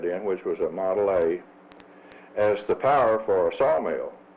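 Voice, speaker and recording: The speech moves at a moderate pace. It carries a Missouri Bootheel accent. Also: man. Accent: Southern US, Missouri Bootheel. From Missouri Bootheel, Kennett area. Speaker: former chamber of commerce president. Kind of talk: interview reminiscence. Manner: hesitant, many uh fillers.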